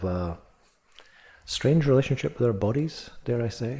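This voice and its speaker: Lively intonation marks a man's medium-pitched voice, dark and mellow in tone. It is somewhat breathy and moves at a moderate pace. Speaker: meditation teacher. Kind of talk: guided meditation. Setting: retreat or meditation hall, addressing a group. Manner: casual, conversational, lightly humorous in the introduction.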